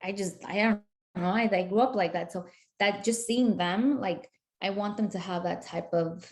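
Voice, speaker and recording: A woman with a slight Spanish accent, medium pitch, ordinary pitch variation and a moderate pace. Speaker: community organizer. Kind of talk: interview. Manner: animated.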